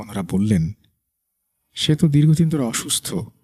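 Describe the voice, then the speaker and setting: A man talks in an unremarkable speaking voice. The sound is dry and close, without any echo. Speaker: radio host. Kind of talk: horror story narration.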